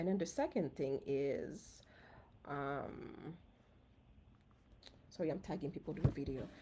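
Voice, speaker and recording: In a Haitian accent, a woman speaks at a moderate pace with a dark, mellow tone. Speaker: physician and personal finance host. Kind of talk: casual live stream talk. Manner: conversational, with fillers.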